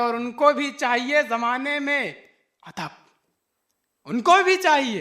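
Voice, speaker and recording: A man with an extremely high pitch projects a raised voice in a bright, sharp tone. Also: ordinary pitch variation. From Lucknow. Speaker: poet. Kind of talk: poetry reading. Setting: live stage, audience. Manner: powerful, fiery.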